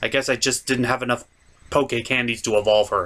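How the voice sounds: The speaker has a bright, sharp tone, moves at a fairly quick pace and keeps the intonation fairly even. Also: man, medium pitch for a man.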